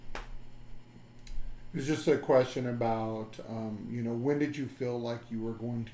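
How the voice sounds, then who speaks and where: Speaking in an ordinary speaking voice, a man keeps a medium pitch and fairly even intonation. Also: hardly any pauses. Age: 50s. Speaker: podcast host. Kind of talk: interview.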